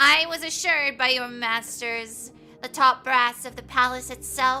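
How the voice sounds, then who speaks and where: Using a put-on character voice, a woman speaks at a moderate pace in a high, shrill pitch, with clear music in the background. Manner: disdainful.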